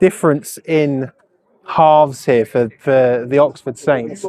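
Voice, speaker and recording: A man talks at a very slow pace. A crowd can be heard in the background. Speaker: sports commentator. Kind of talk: live commentary. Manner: casual, chatty.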